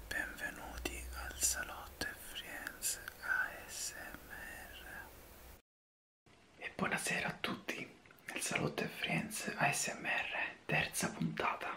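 The voice is whispering at a very slow pace. Long pauses come often. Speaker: ASMR interview host. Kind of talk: ASMR interview questions. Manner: whispered.

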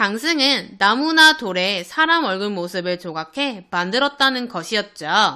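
A woman at medium pitch sounds animated and bright with a sharp tone, her very wide pitch swings carried at a fairly slow pace with hardly any pauses. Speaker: elementary school teacher. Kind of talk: online lesson for children.

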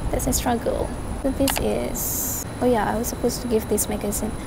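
A woman talks at a moderate pace. The sound is dry with no echo, under loud background noise. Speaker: vlogger. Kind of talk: casual vlog chat. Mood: relaxed, playful. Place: cafe. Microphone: phone near.

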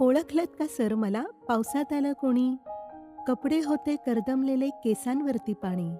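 A woman speaks in a high voice with lively intonation while music plays in the background. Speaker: anchor and voice-over artist. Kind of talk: poetry reading.

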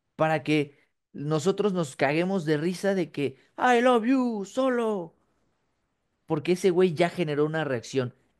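A man with a Mexican accent, high pitched and fairly slow, with lively intonation and a quiet background. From Mexico. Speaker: wrestling podcast co-host. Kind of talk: casual chat. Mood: joking, laughing. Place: home room. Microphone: webcam.

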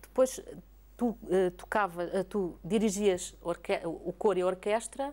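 A woman's voice has a dark, mellow tone and fairly even intonation. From Portugal. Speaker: TV interviewer. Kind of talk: interview. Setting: opera house. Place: hall. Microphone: lapel.

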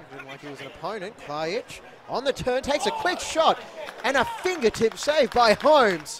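A man's extremely high voice at a moderate pace, with very wide pitch swings, big swings in loudness and noticeable background noise. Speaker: football commentator. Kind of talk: live football commentary, play-by-play. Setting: stadium match broadcast. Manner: breathless, calls shots and saves as they happen.

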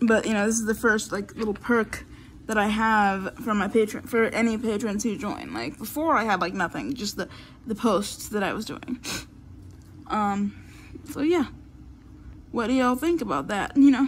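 A woman speaks at a moderate pace in a somewhat breathy voice, with ordinary pitch variation, long and frequent pauses, and light background noise. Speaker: vlogger. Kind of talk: casual vlog chat. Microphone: phone near.

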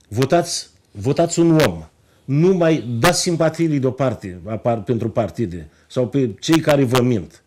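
A man speaks at a fairly slow pace in a dark, mellow tone. His intonation is lively. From Romania, Moldavia region (Bacău county); Moldavia, Romania. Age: 50s. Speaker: politician, member of parliament; politician. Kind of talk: TV interview. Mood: earnest, persuasive. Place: studio.

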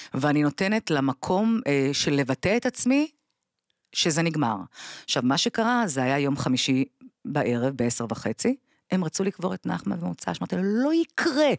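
Against a quiet background, a woman with a very deep, low voice talks at a moderate pace, her pitch swinging very widely, and the sound is dry with no echo. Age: 40s. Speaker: bereaved mother; podcast guest. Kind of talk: testimony. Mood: grave, emotional storytelling. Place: studio. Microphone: studio mic.

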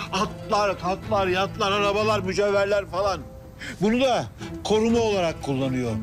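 A man talks at a moderate pace. Music is clearly heard in the background. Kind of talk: acted drama dialogue. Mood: angry, bitter, shouting. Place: street.

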